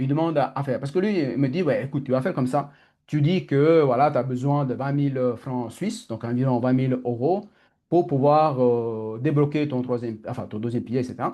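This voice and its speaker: Against a quiet background, a man with a dark, mellow tone speaks at a medium pitch and fairly quick pace with ordinary pitch variation. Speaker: coach. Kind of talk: online masterclass talk. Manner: fast; halting.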